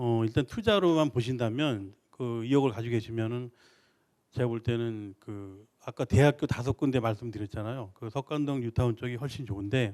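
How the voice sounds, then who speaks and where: A man talks at a moderate pace and a medium pitch, with ordinary pitch variation. He has an ordinary speaking voice. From Seoul. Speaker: real estate expert. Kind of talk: expert Q&A answer.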